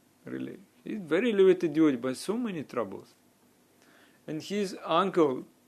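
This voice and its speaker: A man's high-pitched voice at a fairly quick pace, with lively intonation, big swings in loudness and long, frequent pauses. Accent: non-native. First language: not English. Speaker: spiritual teacher. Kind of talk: religious talk. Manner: halting.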